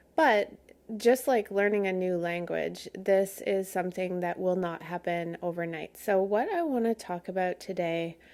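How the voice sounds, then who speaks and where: A woman speaks at a moderate pace in a medium pitch. Her tone is gentle, with ordinary pitch variation. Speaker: spiritual podcast host. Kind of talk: podcast monologue.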